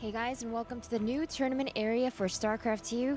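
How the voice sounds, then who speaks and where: The woman speaks quietly. Her pitch is fairly high. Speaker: esports tournament reporter. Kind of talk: live event report. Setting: tournament area at live event.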